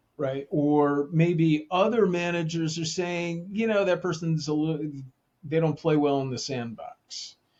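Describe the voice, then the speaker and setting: A man with an American accent speaks at a fairly high pitch and a fairly slow pace, with ordinary pitch variation. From New Jersey. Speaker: leadership consultant and author. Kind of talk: podcast interview. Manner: casual, hesitant with fillers.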